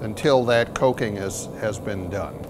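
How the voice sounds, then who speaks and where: Noticeable background noise under a man speaking at moderate speed, his pitch varying in an ordinary way. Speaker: blacksmith instructor. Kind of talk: tutorial. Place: workshop. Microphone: lapel.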